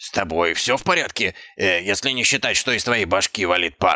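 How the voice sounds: On a very clean recording with a silent background, a man puts on a character voice with a low pitch, a bright, sharp tone and lively intonation. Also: moderate pace.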